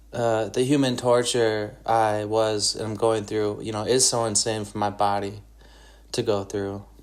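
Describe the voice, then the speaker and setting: With an Upper Midwest US accent, a man speaks very slowly in a fairly low pitch, his intonation monotone and flat. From Wisconsin, Northwoods. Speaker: podcaster and guitarist. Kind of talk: solo monologue podcast. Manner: halting, many fillers.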